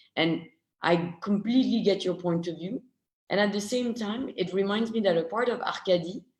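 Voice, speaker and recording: This speaker talks at a moderate pace with a strong French accent. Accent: French accent, strong now. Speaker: film discussion panelist. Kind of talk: online panel discussion. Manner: halting.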